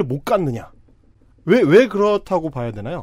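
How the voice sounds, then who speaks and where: A man speaks loudly. His pitch swings very widely. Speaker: podcast host, broadcast writer and union activist. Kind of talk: casual chat.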